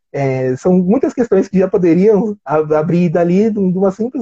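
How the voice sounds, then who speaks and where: A man speaks with a high pitch and a dark, mellow tone, showing ordinary pitch variation in a dry, close sound with no echo. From Brazil, São Paulo. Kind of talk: interview conversation.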